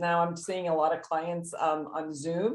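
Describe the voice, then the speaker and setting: A woman's fairly low-pitched, unremarkable speaking voice at a moderate pace. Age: 60s. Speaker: psychotherapist. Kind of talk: interview.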